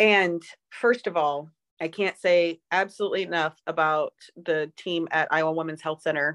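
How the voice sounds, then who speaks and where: A woman with a normal speaking voice talks at a moderate pace, her fairly low pitch moving with ordinary variation, recorded dry and close with no echo over a quiet background. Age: 40s. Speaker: podcast co-host. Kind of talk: casual chat. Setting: video call.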